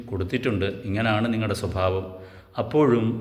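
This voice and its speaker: There is audible room echo around a man's voice. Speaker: YouTuber. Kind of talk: monologue. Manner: halting.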